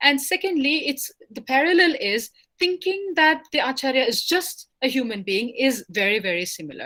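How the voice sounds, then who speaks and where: Raising and projecting her voice, a woman with a high pitch and a bright, sharp tone uses very wide pitch swings at a moderate pace with hardly any pauses. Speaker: lecturer on religious philosophy. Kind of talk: lecture. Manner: hesitant, many fillers.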